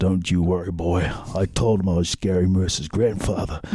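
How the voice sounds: A man puts on a raspy character voice, very deep and low, delivered in a flat monotone. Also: moderate pace.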